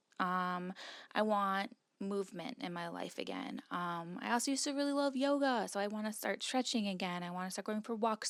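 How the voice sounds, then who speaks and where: A woman at medium pitch talks at a moderate pace in a very clean recording with a silent background and a dry, close sound with no echo. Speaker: vlogger and wedding photographer. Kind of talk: casual vlog monologue. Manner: rambling with many fillers.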